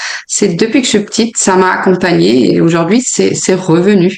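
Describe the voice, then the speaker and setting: Pitched in the medium range, a woman is heard. Her pace is moderate. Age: 30s. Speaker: sophrologist and yoga teacher. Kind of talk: interview. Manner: hesitant, many filler sounds.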